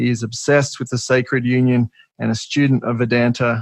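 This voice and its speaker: In an Australian accent, a man talks fairly quickly at medium pitch in a monotone, flat intonation, the sound dry and close with no echo. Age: 30s. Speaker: podcast host. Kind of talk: podcast interview.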